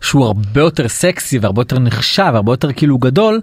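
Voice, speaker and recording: Rattling along at a very fast pace, a man speaks at a medium pitch with lively intonation. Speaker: podcast host. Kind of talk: podcast interview. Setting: studio.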